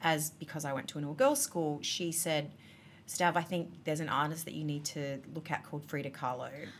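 With an Australian accent, a woman talks at a fairly quick pace in a very deep, low pitch. Her intonation is monotone and flat. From Australia, Adelaide. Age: 30s. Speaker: artist and designer. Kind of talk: casual chat. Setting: restaurant.

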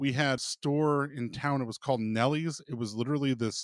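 This man has a plain, everyday voice with an American accent, fairly high in pitch with ordinary variation, captured in a very clean, dry, close recording over a silent background. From Minnesota. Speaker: podcast host. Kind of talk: casual interview chat.

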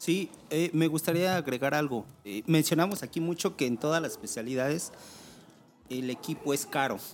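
A man speaks in a normal speaking voice, fairly high in pitch with ordinary pitch variation. His pace is moderate. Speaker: urban rescue chief. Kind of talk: casual chat.

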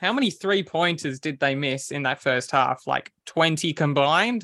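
With an Australian accent, a man speaks at a fairly slow pace in a high voice with lively intonation, the sound dry and close with no echo. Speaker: basketball podcast co-host. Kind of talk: casual chat.

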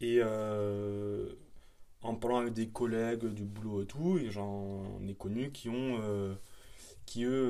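A man's fairly low-pitched voice with fairly even intonation, music in the background, and audible room echo. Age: 20s. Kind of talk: casual chat.

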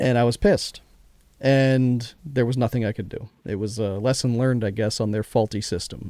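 In a dry, close recording that is very clean with a silent background, a man with a medium-pitched, dark, mellow tone speaks at a moderate pace with ordinary pitch variation. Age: 40s. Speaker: podcast host. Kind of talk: casual chat.

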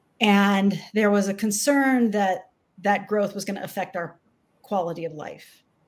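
A woman with an ordinary speaking voice talks in an American accent at a medium pitch and a fairly slow pace. Her intonation is fairly even, and the recording is very clean, with a silent background. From Texas, Austin. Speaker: leadership coach. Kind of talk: interview.

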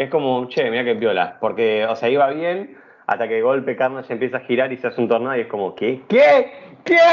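A man with a Rioplatense accent, medium-pitched, at a fairly quick pace. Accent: Argentine Rioplatense Spanish. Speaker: podcast host. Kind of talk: casual chat.

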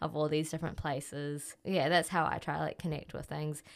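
In a New Zealand accent, a woman speaks with a very deep, low pitch. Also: very clean recording, silent background. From New Zealand, Auckland. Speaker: music journalist and DJ. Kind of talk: casual interview.

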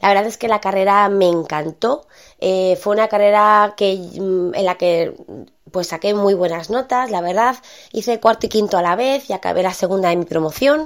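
Here a woman speaks at a medium pitch with ordinary pitch variation and a moderate pace. The recording is very clean, with a silent background. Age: 30s. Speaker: podcast host, online marketer. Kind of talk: casual monologue. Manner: hesitant, many fillers.

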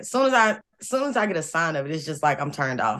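A woman talks at a very fast pace with a very deep, low pitch. Her voice has vocal fry and very wide pitch swings. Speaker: co-host. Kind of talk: casual chat.

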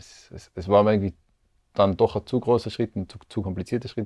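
A man speaks with a dark, mellow tone in a dry, close sound with no echo. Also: quiet background. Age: 30s. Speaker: percussionist and composer. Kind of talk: casual interview. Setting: studio.

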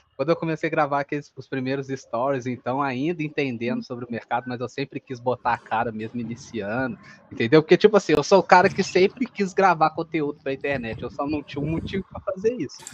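Rattling along at a very fast pace with hardly any pauses, a man speaks at a fairly high pitch with lively intonation and big swings in loudness. The sound is dry and close, with no echo. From Minas Gerais, Brazil. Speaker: affiliate marketer, content creator. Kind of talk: casual interview.

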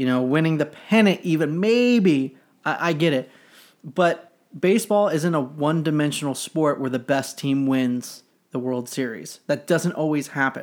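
A man's fairly high voice with ordinary pitch variation, on a very clean recording with a silent background. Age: 30s. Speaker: sports podcast co-host. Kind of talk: casual chat. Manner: animated.

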